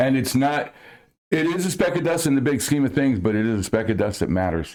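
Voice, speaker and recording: A man's medium-pitched voice with an American accent, a fairly quick pace, very wide pitch swings and very even loudness. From New Jersey. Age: 60s. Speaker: musician. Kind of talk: casual chat.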